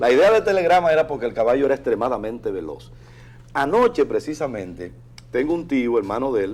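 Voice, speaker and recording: A man speaking at a fairly quick pace. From Dominican Republic, Bajo Yuna region. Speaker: prosecutor, lawyer. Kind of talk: talk show interview.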